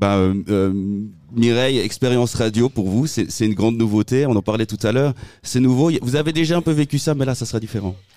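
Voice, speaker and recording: With music playing in the background, a man speaks at a medium pitch. His pace is fairly quick and his pitch varies in an ordinary way. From Switzerland, Valais (Saint-Maurice). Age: 30s. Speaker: local radio host and election candidate. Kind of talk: casual radio chat. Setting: outdoor street studio.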